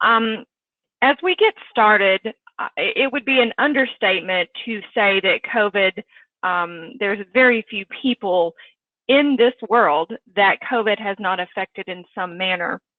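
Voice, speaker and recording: With a plain, everyday voice, a woman speaks at a fairly slow pace in a fairly high pitch with ordinary pitch variation. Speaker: clinical coding manager, presenter. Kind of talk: webinar presentation.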